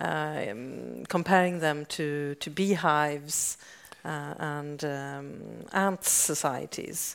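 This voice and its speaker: The voice comes with a Swedish accent. Its intonation is lively. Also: woman. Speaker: science journalist, interviewer. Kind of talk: stage interview. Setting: stage with audience.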